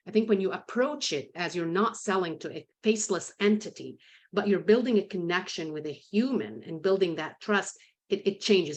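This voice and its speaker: Speaking with a non-native accent, a woman talks fairly quickly at a medium pitch. Her intonation is lively against a quiet background. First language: not English. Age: 50s. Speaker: sales consultant and author. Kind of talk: podcast interview. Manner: conversational, with frequent repetitions.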